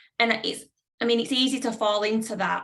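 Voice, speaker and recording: A woman talks with a northern English accent and fairly even intonation. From northern England. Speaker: publisher. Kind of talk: panel discussion.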